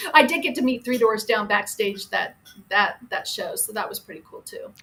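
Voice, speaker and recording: A woman speaks at a moderate pace, her loudness swinging widely. Noticeable background noise runs underneath. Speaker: former radio marketing person. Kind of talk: casual radio interview storytelling. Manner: chatty, upbeat.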